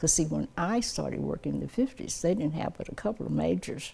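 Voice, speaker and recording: This woman speaks with an Appalachian accent. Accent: Southern Appalachian American. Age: 80s+. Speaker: community volunteer. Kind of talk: interview testimony.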